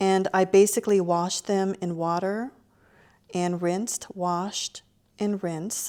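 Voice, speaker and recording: On a very clean recording with a silent background, a woman with a dark, mellow tone and medium pitch speaks fairly slowly in a monotone, flat intonation. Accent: Lao. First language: Lao. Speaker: cooking show host. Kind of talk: cooking tutorial. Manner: casual, friendly.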